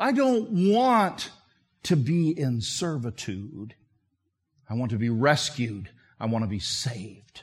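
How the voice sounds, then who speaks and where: At a very slow pace, a man with a medium pitch and a somewhat breathy voice makes very wide pitch swings, leaving long, frequent pauses. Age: 60s. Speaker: visiting preacher. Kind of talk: sermon. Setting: church.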